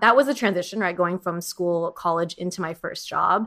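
A woman speaks with an American accent at a moderate pace. Her pitch sits in the middle of her range, with ordinary rise and fall. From Southern California, Orange County. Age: 30s. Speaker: content creator and podcaster. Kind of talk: casual chat. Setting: remote call.

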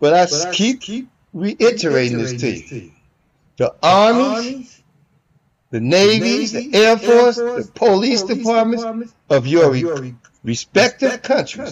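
Very wide pitch swings from a man. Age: 60s. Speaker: podcast host giving commentary. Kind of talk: angry monologue. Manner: repetitive, stumbling.

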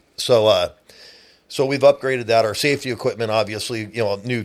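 Speaking at a fairly quick pace, a man uses an unremarkable speaking voice at a medium pitch, with fairly even intonation. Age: 50s. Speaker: boat towing business owner. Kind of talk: casual interview. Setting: studio.

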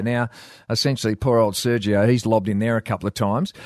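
Against a quiet background, a man is speaking. The sound is dry and close, with no echo. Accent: Australian. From Western Australia wheatbelt. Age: 50s. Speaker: former footballer, sports pundit. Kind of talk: casual chat.

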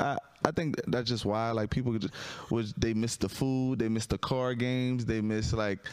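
A man with a New Orleans accent. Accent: New Orleans Southern. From Louisiana, New Orleans area. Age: 30s. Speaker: stand-up comedian. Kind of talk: casual chat. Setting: studio.

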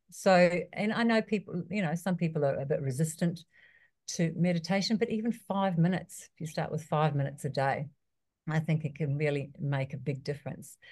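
With a New Zealand accent, a woman talks at a moderate pace. Her voice is somewhat breathy and fairly low in pitch. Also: quiet background. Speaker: personal trainer. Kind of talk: interview.

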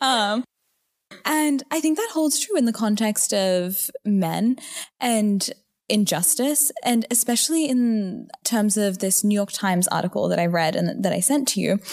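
With an Australian accent, a woman speaks at a fairly slow pace, pitched fairly high, with lively intonation and very even loudness. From Australia, Newcastle. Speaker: student and women's rights activist. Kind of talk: casual discussion.

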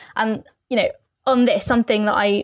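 In a London accent, a woman speaks with monotone, flat intonation in a dry, close sound with no echo. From East London, England. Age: 20s. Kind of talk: podcast interview.

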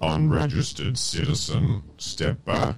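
Using a put-on character voice, a man speaks at a medium pitch and fairly slow pace with very wide pitch swings. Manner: commanding.

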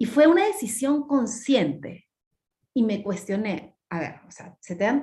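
Her voice is somewhat breathy, and the woman's intonation stays lively throughout. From Peru, Lima. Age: 40s. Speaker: mindfulness teacher and cook. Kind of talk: podcast interview.

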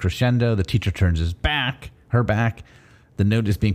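Reading aloud in a natural voice, the speaker lets pitch vary in an ordinary way.

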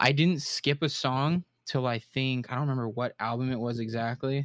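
The delivery comes at a moderate pace. It is an ordinary speaking voice, and its intonation stays fairly even. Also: man, dry, close sound with no echo. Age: 20s. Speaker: podcast guest. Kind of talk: casual chat.

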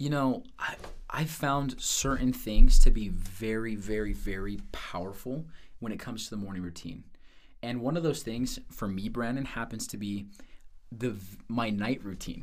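With an American accent, a man of medium pitch speaks at a moderate pace with ordinary pitch variation and big swings in loudness, in a room with audible echo. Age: 20s. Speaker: sales manager. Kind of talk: casual interview.

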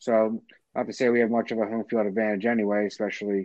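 A man with a Philadelphia accent talks at a fairly quick pace. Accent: Philadelphia-area American. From South Jersey, near Philadelphia. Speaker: sports podcast co-host. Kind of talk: casual chat.

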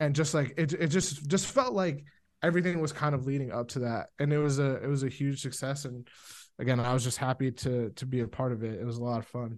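Very fast talk from a man with an American accent, fairly high in pitch, with ordinary pitch variation and a quiet background. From Tucson, Arizona. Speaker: fashion industry guest. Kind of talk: casual chat.

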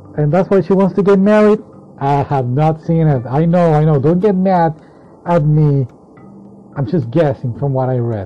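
Over noticeable background noise, a man speaks at a moderate pace with a fairly high pitch and lively intonation. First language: not English. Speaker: anime magazine reviewer. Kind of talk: solo casual review. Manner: halting, many fillers.

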